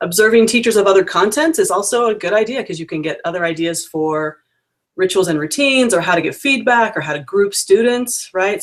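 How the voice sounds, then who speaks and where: Pitched at a medium level, a woman talks at a fairly quick pace. Her pitch swings very widely. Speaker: peer observer evaluating language teachers. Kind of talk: video call interview. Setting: video call. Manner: fast.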